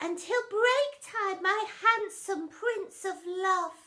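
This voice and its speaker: Someone puts on a squeaky character voice. The delivery is very slow. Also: woman, extremely high pitch for a woman. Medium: read story.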